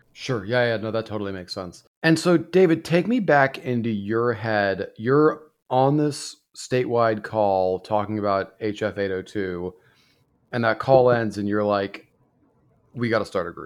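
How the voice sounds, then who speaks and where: A man speaks with an unremarkable speaking voice at a medium pitch and a fairly slow pace. His intonation is lively, over a quiet background. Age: 40s. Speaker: podcast host, former teacher. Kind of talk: interview.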